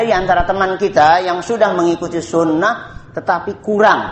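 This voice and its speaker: Speaking at a fairly quick pace, a man with a high-pitched voice is heard over noticeable background noise and audible room echo. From Indonesia. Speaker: Islamic preacher. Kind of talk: religious study lecture. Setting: evening study gathering.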